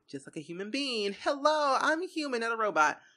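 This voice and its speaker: A woman's bright, sharp tone rises and falls in very wide pitch swings. The recording is very clean, with a silent background. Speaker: gaming youtuber. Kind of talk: unscripted voiceover. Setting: home desk. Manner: fast; rambling.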